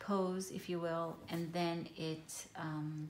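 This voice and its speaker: A woman's fairly low voice in a monotone, flat intonation, with audible room echo. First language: Hebrew. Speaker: journaling vlogger. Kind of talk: casual show-and-tell tutorial. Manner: hesitant, many fillers.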